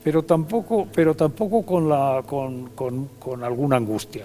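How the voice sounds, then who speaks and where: Noticeable background noise sits behind a man with a fairly high pitch. He talks at a moderate pace with lively intonation. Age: 80s+. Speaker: retired politician. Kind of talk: TV interview. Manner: halting, many repetitions.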